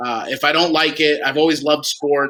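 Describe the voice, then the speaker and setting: A man talks very fast in a New Jersey accent. His voice is fairly high, with a bright, sharp tone. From New Jersey, Toms River. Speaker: minor league baseball executive. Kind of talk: casual interview.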